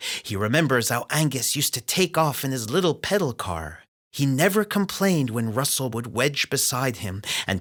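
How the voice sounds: Quiet surroundings behind a reader with a natural voice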